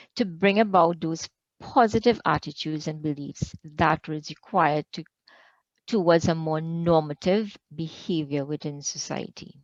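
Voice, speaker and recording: Against a quiet background, a woman with a normal speaking voice talks at a moderate pace, her pitch varying in an ordinary way. The sound is dry and close with no echo, and her loudness swings widely. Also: fairly low pitch for a woman. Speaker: researcher presenter. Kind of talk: conference presentation.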